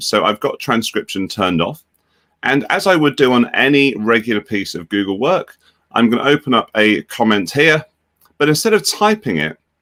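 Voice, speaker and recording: A British accent at a fairly quick pace, with a bright, sharp tone, very wide pitch swings, and a dry, close sound with no echo. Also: man. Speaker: edtech company education executive. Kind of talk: software tutorial demonstration. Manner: casual, conversational.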